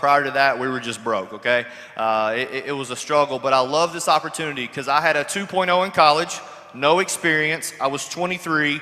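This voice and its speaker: A man with an American accent speaks at a fairly quick pace and a fairly high pitch, with noticeable background noise behind him. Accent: Kentucky accent, joked about. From Kentucky, US South. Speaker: network marketer. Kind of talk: panel testimony. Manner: casual, joking.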